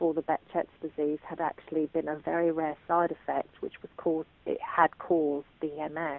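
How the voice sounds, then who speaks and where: A woman's very deep, low voice in an English accent, flat and monotone. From England. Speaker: patient sharing illness experience. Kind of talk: testimony. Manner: hesitant, with frequent fillers.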